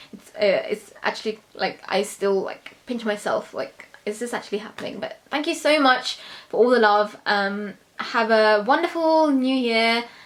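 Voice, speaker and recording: Speaking in a London accent, a woman uses a fairly high pitch with ordinary variation. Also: moderate pace. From London, England. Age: 20s. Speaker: beauty YouTuber. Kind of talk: Q&A vlog. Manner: casual, hesitant with fillers.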